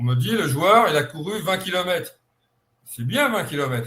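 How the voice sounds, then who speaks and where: Very wide pitch swings at a fairly slow pace. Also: man. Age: 70s. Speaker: football scout. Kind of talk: online conference interview.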